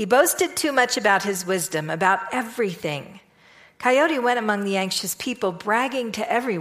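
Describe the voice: In this plain reading aloud, the pitch shows ordinary variation.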